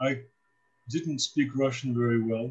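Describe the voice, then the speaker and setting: A man with an American accent, somewhat breathy, at a fairly slow pace. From US Midwest, Cleveland, Ohio. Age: 70s. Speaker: priest. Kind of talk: casual talk to students, life story. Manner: hesitant, many fillers.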